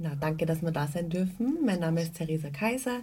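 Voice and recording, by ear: A woman speaks at a fairly quick pace in a fairly low pitch, her dark, mellow tone carried by lively intonation.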